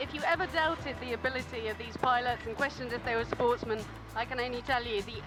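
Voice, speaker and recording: Over music in the background, a woman with a high pitch talks at a fairly quick pace with ordinary pitch variation. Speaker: sports reporter and presenter. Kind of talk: on-location news report.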